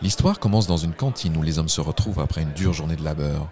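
Over a silent background in a very clean recording, a man speaks with a very deep, low pitch and ordinary pitch variation. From Quebec. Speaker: storyteller narrator. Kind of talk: scripted narration of a ghost tale, told as a folk story. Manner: measured, storyteller cadence with suspense.

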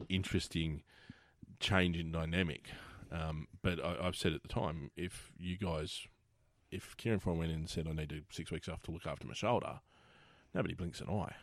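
An Australian accent at a moderate pace, with fairly even intonation. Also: man. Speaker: podcast host. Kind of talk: casual interview chat. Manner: casual, jokey.

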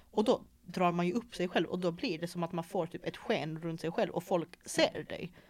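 Here a woman uses a normal speaking voice at a moderate pace. Her pitch is fairly low, with ordinary variation. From Malmö, Sweden. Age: 20s. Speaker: podcast host. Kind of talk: casual chat.

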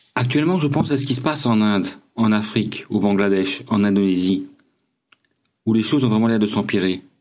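The speech moves at a fairly quick pace with ordinary pitch variation and very even loudness. Long pauses come often. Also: man, fairly low pitch for a man. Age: 50s. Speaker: long-distance cycling traveller. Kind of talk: recorded personal diary testimony.

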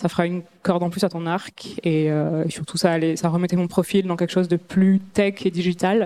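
A woman with a fairly low pitch speaks at a fairly quick pace in a dark, mellow tone, her intonation monotone and flat. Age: 30s. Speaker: startup co-founder. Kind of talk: talk to an audience.

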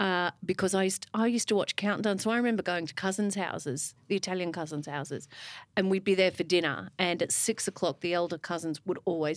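A woman with an Australian accent at a very fast pace, on a very clean recording with a silent background. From Melbourne, Australia. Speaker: music broadcaster. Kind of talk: casual conversation interview. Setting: live recording before an audience.

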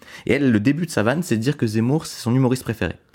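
This very fast-talking man uses ordinary pitch variation, captured in a very clean recording with a silent background. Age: 20s. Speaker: stand-up comedian. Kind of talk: casual chat.

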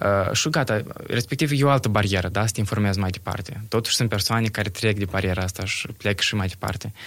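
Over a silent background in a very clean recording, a man with a fairly low voice and ordinary pitch variation talks at a very fast pace. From Moldova, Bălți. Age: 20s. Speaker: environmental activist. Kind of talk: casual chat. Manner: halting, many fillers.

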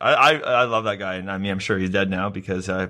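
Talking at a very fast pace, a man has a fairly low pitch and a bright, sharp tone. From Canada. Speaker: podcast co-host. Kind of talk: casual chat. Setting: in-person, shared mic at home.

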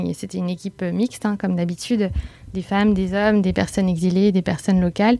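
The intonation is fairly even. It is a normal speaking voice. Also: woman. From France, Bordeaux. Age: 30s. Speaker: association co-founder. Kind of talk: interview.

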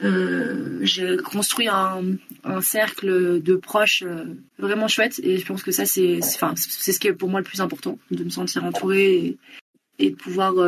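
A woman talks at a very slow pace. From France, Bordeaux area. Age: 20s. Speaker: podcast guest. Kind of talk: casual chat. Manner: halting.

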